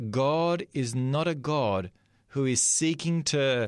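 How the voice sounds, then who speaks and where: A man's medium-pitched voice with an Australian accent and lively intonation, on a very clean recording with a silent background. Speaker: pastor. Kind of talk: sermon.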